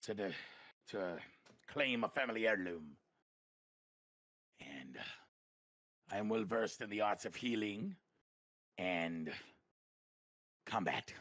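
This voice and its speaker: Using a put-on character voice, a man speaks raspy and fairly low, with long, frequent pauses. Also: fairly slow pace. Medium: actual play.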